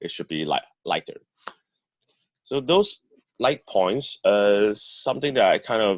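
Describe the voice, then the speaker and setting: A man's voice with a dry, close sound and no echo. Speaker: public speaking trainer. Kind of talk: training talk. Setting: video call.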